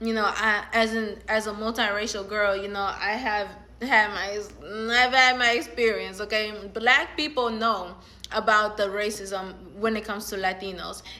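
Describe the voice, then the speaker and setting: This woman has a fairly high, bright, sharp voice and an animated tone. She keeps a moderate pace, with audible room echo around her. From Latin America. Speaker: social media commentator. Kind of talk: casual vlog monologue. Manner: animated, filler-heavy.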